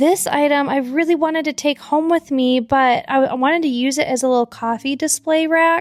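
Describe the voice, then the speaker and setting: A high-pitched woman with an American accent talks with hardly any pauses, very even loudness and ordinary pitch variation. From Michigan, east side. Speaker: thrift reseller vlogger. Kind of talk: casual vlog narration. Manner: fast; animated.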